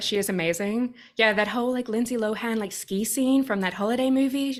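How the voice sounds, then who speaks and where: Talking at a fairly quick pace, a woman with an Australian accent uses a fairly high pitch with ordinary pitch variation. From Australia, Sydney. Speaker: activist and coach. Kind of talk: casual interview chat. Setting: video call.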